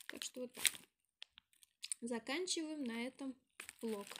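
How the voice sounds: A woman's nasal voice at a moderate pace with ordinary pitch variation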